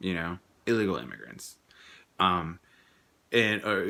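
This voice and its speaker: With a Spanish accent, a man speaks at a moderate pace in a bright, sharp tone with ordinary pitch variation, on a very clean recording with a silent background. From Mexico. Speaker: vlogger. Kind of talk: personal vlog monologue. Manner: halting, many repetitions and restarts.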